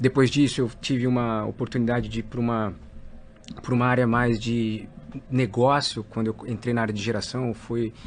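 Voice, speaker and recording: This man keeps a moderate pace. His delivery is monotone, with flat intonation. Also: medium pitch for a man. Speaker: company executive. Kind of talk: interview.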